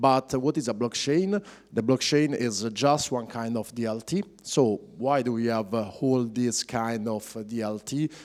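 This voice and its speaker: A man with an Italian accent speaks at a medium pitch and a moderate pace, with ordinary pitch variation. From Italy. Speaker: blockchain project manager. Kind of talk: conference talk. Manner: halting, many fillers.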